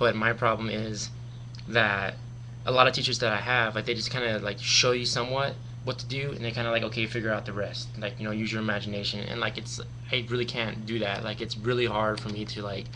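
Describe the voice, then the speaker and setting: A man's medium-pitched, monotone, flat voice at a very fast pace, with audible room echo and noticeable background noise. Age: 20s. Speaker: vlogger. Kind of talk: personal webcam monologue. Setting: webcam recording. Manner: hesitant, many fillers.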